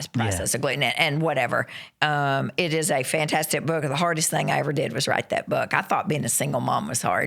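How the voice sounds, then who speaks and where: Someone with an American accent talks at a fairly quick pace in an animated tone. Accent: Southern US (self-described redneck accent). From western Kentucky, US South. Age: 50s. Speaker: nurse practitioner and author. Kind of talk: casual interview chat.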